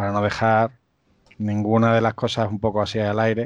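A man's fairly low voice, an unremarkable speaking voice, against a quiet background. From Spain, Extremadura (Cáceres). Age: 40s. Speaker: systems administrator and conference organizer. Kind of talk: casual chat.

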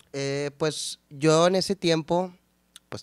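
A man's voice comes across dry and close with no echo, with ordinary pitch variation. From northern Mexico, San Nicolás de los Garza, Monterrey. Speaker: musician and producer. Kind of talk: casual interview. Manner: casual slangy, halting with repetitions.

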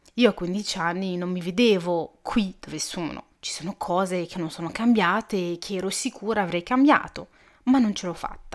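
Her voice is a plain, everyday voice, medium in pitch with ordinary pitch variation. The woman speaks at a moderate pace. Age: 20s. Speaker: podcast host. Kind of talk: personal monologue. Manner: casual, chatty.

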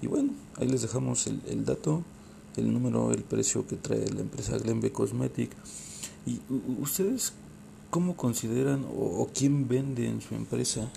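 A man with a Mexican accent speaks at a moderate pace, leaving long, frequent pauses. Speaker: podcast host. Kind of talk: casual interview. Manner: halting, repeats words.

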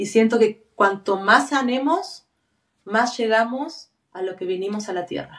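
A woman speaks with an Argentine accent at a fairly slow pace. Her fairly high voice has lively intonation and big swings in loudness. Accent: Argentine Spanish (voseo). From Argentina. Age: 40s. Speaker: tattoo artist. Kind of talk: interview conversation.

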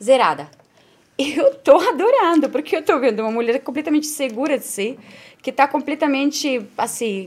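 With lively intonation and a high pitch, a woman keeps a moderate pace. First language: not Portuguese (speaking Portuguese). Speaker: podcast co-host. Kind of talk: casual chat.

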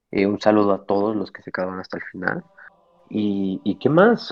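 A man at a fairly low pitch, speaking at a fairly slow pace. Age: 20s. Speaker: optometry student and storyteller. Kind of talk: storytelling interview. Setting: live stream.

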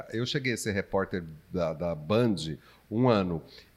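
A man speaks at a moderate pace. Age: 40s. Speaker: podcast host and local TV presenter. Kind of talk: casual chat.

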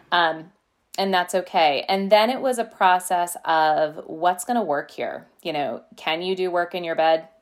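At a fairly slow pace, a woman talks in a normal speaking voice with a fairly low pitch and ordinary pitch variation. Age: 40s. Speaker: music teacher. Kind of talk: casual interview.

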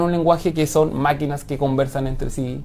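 A man with a Chilean accent talks very fast with fairly even intonation. Background noise is noticeable. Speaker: software engineer. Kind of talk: interview.

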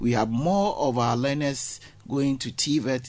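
The man has a medium-pitched voice with ordinary pitch variation. It is an unremarkable speaking voice. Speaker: vocational training official. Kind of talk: radio interview.

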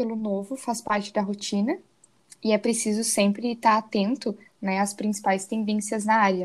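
A woman's somewhat breathy, fairly high voice with fairly even intonation at a moderate pace. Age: 20s. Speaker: biomedicine student. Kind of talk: student presentation, read script.

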